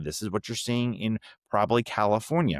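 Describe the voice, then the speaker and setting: Fairly low in pitch, a man speaks with a strong New York accent in a very clean recording with a silent background and a dry, close sound with no echo. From New York City. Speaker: political podcast host. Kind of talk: political analysis podcast monologue. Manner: casual, conversational with fillers.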